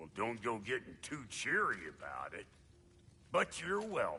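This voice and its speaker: A man uses a put-on character voice at a medium pitch. He speaks at a moderate pace with clear background noise. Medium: video game. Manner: gruff, wry.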